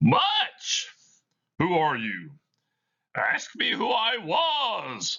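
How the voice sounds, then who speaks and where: A man puts on a character voice, talking very slowly and stopping often for long pauses. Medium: read story. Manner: solemn, grave.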